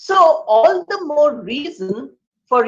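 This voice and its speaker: A woman speaks at a very slow pace in a high voice. Her pitch swings very widely. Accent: Indian. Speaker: English professor. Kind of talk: lecture.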